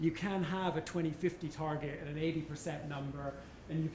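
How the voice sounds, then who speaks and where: Talking at a very fast pace, a man has a fairly high pitch and a monotone, flat intonation. Noticeable background noise and audible room echo fill the recording. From Canada. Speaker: economist, former senior government adviser. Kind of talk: panel discussion answer. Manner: halting, many fillers.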